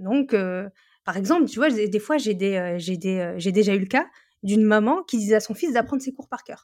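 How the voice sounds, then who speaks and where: A woman speaks in a plain, everyday voice at a fairly high pitch with lively intonation. The recording is very clean, with a silent background. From northern France. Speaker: education content creator and tutor. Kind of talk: casual interview.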